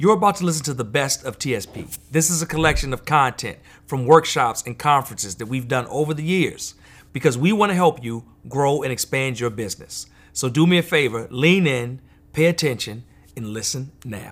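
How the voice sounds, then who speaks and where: On a very clean recording with a silent background, a man with a normal speaking voice talks at a moderate pace, his fairly high pitch carrying lively intonation. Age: 40s. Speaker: podcast host and business coach. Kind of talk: scripted intro; workshop conversation.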